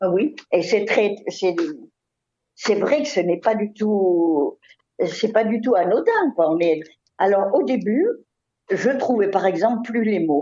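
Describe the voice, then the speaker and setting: A woman speaks at a very slow pace with a medium pitch and lively intonation. Her loudness stays very even, and she takes long, frequent pauses. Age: 80s+. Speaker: retired school director. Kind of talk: interview. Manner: halting.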